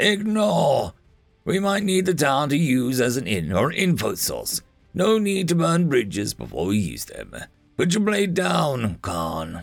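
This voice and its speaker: Over faint background music, a man puts on a gruff character voice pitched fairly high, moving through very wide pitch swings at a fairly slow pace. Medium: read story. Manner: curt, commanding.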